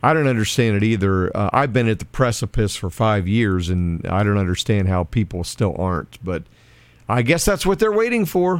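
A man's fairly low voice at a moderate pace, lively in intonation, on a very clean recording with a silent background. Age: 60s. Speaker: radio and podcast co-host. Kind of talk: casual chat.

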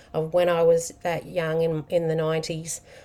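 A woman with a fairly low pitch speaks in an Australian accent. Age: 40s. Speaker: podcast host. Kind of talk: personal monologue. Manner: casual, unscripted with fillers.

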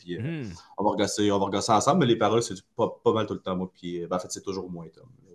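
A man's normal speaking voice, fairly low in pitch, at a fairly quick pace with big swings in loudness. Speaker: metal band vocalist. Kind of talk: casual interview.

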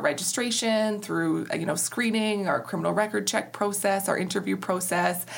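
A woman with an Ontario accent is heard with audible room echo. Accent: Canadian (Ontario). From Ontario, Canada (Walkerton, Grey-Bruce). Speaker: charity executive director. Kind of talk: interview.

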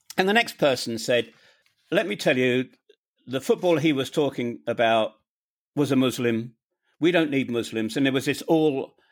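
A man with a British accent talks at a moderate pace, with medium pitch and ordinary pitch variation. He takes long, frequent pauses in a very clean recording with a silent background. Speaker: podcaster and expat guest. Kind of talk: interview conversation, telling personal story.

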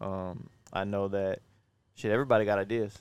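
A man talks at a moderate pace in a flat, monotone delivery. The recording is very clean, with a silent background. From Louisiana, Baton Rouge. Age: young. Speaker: podcast co-host, entrepreneur. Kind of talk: casual chat. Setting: outdoors.

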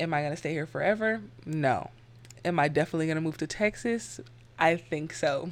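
Speaking at a fairly quick pace with an American accent, a woman uses a very deep, low pitch, an animated tone and lively intonation. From San Francisco Bay Area, Northern California. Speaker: podcast host. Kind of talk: casual chat.

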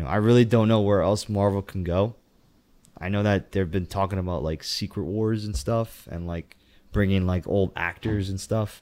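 A man with an American accent speaks at a moderate pace and a fairly low pitch, his dark, mellow tone held in fairly even intonation on a very clean recording with a silent background. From US. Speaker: podcast guest. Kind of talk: casual chat.

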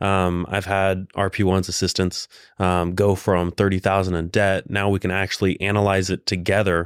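The intonation is monotone and flat. The recording is very clean with a silent background and a dry, close sound with no echo. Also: man, very deep, low pitch for a man, moderate pace. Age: 20s. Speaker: real estate agent and entrepreneur. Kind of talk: casual interview.

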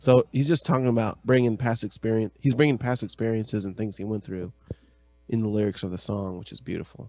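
With an American accent, a man speaks at a very fast pace in a medium pitch, with a dark, mellow tone, ordinary pitch variation and big swings in loudness. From US West (California, Idaho). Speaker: podcast co-host. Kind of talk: casual chat.

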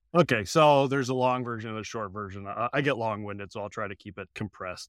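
Speaking with a Midwestern American accent, this man uses lively intonation. His pace is very fast. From US Midwest. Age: 30s. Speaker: podcaster. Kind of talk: casual podcast conversation and narrated segment. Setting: remote call.

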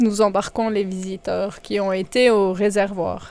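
A woman with an unremarkable speaking voice talks fairly slowly in a fairly high pitch. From Valais, Switzerland. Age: 40s. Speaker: mine tour guide and train driver. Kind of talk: guided tour interview. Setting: underground salt mine and mine train.

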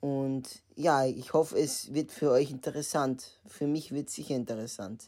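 Speaking at a moderate pace, a man with a dark, mellow tone and medium pitch keeps his intonation fairly even in a very clean recording with a silent background. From Austria, Vienna. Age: 20s. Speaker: podcast host, psychology student. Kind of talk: podcast trailer monologue.

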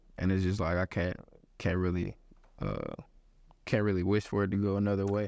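Against a quiet background, a man with a Texas accent speaks at a very deep, low pitch in a monotone, flat intonation with very even loudness. His pace is fairly quick, broken by long, frequent pauses. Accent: Southern US (Texas). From Houston, Texas. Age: 20s. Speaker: college football player. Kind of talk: interview. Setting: football facility.

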